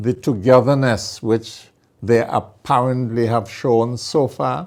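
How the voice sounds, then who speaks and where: In a very clean recording with a silent background, a man speaks at a very slow pace and medium pitch with fairly even intonation. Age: 70s. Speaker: lawyer and TV presenter. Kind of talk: public service commentary. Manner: formal.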